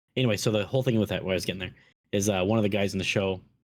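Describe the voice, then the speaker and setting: This man has a Minnesotan accent and a fairly low pitch, with fairly even intonation. The recording is very clean, with a silent background. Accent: Minnesota. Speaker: podcast host. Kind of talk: casual chat.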